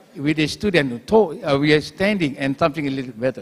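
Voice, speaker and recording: A man with an Indonesian accent speaks with lively intonation. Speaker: university lecturer. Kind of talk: conference presentation. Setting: auditorium. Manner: halting.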